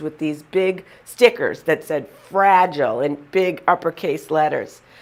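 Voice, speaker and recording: With a Boston accent, a woman speaks in an animated tone at a moderate pace, her fairly low pitch showing ordinary variation. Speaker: motivational humorist. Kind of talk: humorous storytelling.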